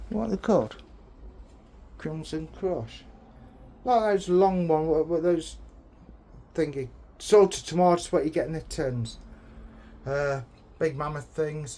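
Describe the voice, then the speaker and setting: Speaking with an English accent, a man with a fairly high pitch and a dark, mellow tone uses ordinary pitch variation and long, frequent pauses. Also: fairly slow pace. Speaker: allotment vlogger. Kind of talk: casual vlog. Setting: outdoors. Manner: loud.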